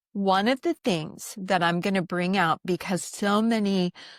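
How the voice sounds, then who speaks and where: Her pitch shifts in an ordinary way. The woman's delivery is very slow. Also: dry, close sound with no echo, very clean recording, silent background. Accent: American. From US, military family moving around. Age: 60s. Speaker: doctor. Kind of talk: podcast interview.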